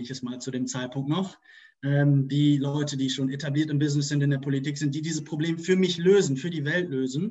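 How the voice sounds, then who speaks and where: This man's voice sits fairly high for a man and is somewhat breathy, moving at a fairly quick pace with ordinary pitch variation. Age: 20s. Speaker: corporate sustainability manager. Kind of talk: interview.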